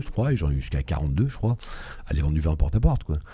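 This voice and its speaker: Very deep, low pitch from a man, with noticeable background noise behind it. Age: 60s. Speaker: entrepreneur, business founder. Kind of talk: interview. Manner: hesitant, many fillers.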